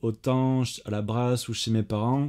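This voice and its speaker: In a very clean recording with a silent background, a man speaks at a medium pitch and a fairly slow pace. His tone is dark and mellow, and his intonation is flat and monotone. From Gers, southwest France. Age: 30s. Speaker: DJ. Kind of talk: podcast interview. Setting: studio.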